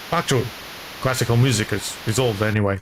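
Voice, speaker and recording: With a non-native accent and ordinary pitch variation, a man talks at a fairly quick pace over noticeable background noise. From small non-English-speaking country. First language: not English. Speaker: gaming streamer. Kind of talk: casual gameplay commentary. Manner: halting, frequent repetitions.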